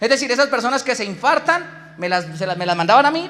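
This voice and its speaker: A man speaks very fast in a raised, projected voice, with an animated tone and lively intonation. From Colombia, Boyacá. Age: 20s. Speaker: business speaker. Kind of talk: motivational talk.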